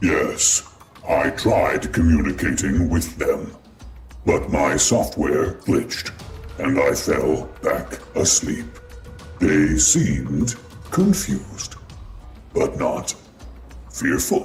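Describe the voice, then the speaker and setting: With clear music in the background, a man uses a put-on character voice at a very slow pace, with long, frequent pauses. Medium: machinima. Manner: calm, measured.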